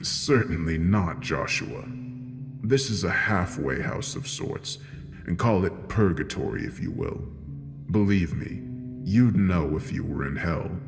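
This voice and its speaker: Over loud background music and a clear echo, a man uses a put-on character voice at a fairly low pitch and a fairly slow pace. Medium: read story. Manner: sly, smug, menacing.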